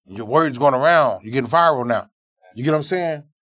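This man's voice sits at a fairly high pitch. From Arkansas, US South. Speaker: barber and shop owner. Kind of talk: casual chat. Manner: animated.

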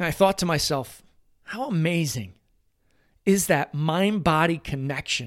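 Energetic and animated, the speaker moves at a fairly slow pace with lively intonation and long, frequent pauses, on a very clean recording with a silent background. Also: man, high pitch for a man. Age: 40s. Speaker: podcast host and performance coach. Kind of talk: solo motivational talk. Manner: energetic, animated.

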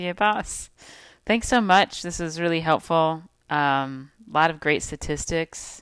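A woman speaks in an unremarkable speaking voice, fairly low in pitch, with ordinary pitch variation. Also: fairly slow pace, very clean recording, silent background. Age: 30s. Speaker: pelvic health physical therapist and podcast co-host. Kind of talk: casual chat.

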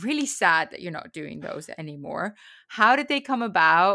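Speaking at a moderate pace, a woman with a bright, sharp tone and vocal fry uses a fairly high pitch, very wide pitch swings and big swings in loudness. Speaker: horse racing podcast host and TV broadcaster. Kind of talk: casual interview chat. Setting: remote recording. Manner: stutters a little when nervous.

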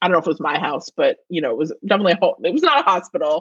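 The recording is dry and close, with no echo. A woman talks with lively intonation. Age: 30s. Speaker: film student and podcast guest. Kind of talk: casual chat.

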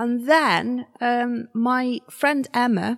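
With a West Midlands accent, the voice has a dry, close sound with no echo. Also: woman. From Shropshire, England. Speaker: artist. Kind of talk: interview.

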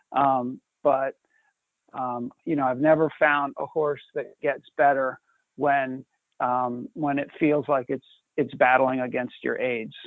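At a very slow pace, a man with a fairly high pitch speaks in a monotone, flat way. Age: 50s. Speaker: president of a racehorse retraining nonprofit. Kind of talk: live webinar Q&A.

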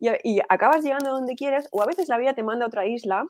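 Animated female voice at a fairly quick pace. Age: 40s. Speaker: entrepreneur and business strategist. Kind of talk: interview.

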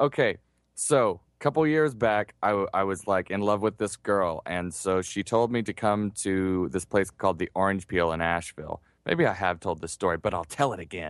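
Over a quiet background, a man uses a normal speaking voice at a moderate pace, fairly low in pitch with ordinary pitch variation. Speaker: podcast co-host. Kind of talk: casual chat.

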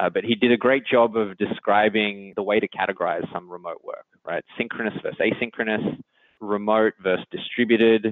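A man with an Australian accent talks at a fairly quick pace in a flat, monotone way. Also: medium pitch for a man. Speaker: engineering executive. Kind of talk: interview.

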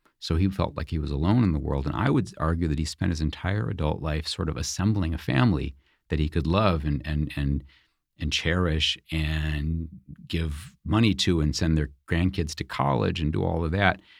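On a very clean recording with a silent background, a man with a very deep, low pitch and vocal fry talks at a moderate pace with ordinary pitch variation. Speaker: author and biographer. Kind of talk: interview. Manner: halting.

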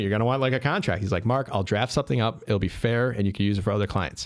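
The speaker is a man with a Chicago accent. He talks at a very fast pace. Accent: Chicago-area American. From Chicago western suburbs (Addison). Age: 40s. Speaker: real estate investor and property manager. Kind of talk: casual interview. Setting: studio.

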